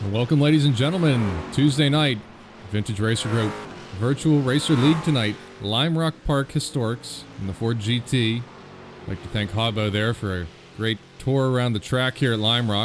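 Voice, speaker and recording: A man with an American accent, medium pitch, ordinary pitch variation and a moderate pace, over noticeable background noise. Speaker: sim racing league host and commentator. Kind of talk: live stream commentary intro. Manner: casual, with many fillers.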